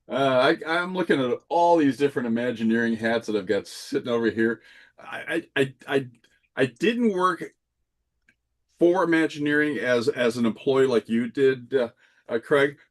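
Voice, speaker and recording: An unremarkable speaking voice from a man, moderate in pace, medium in pitch and ordinary in pitch variation. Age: 50s. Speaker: landscape architecture subcontractor and Disney collector. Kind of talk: casual chat.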